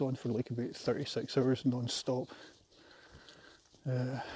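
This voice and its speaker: With a Scottish accent, this man talks at a moderate pace in a medium pitch and a dark, mellow tone. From Scotland. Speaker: vlogger. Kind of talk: casual vlog monologue while walking. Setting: outdoors, walking a trail. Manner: hesitant, many fillers.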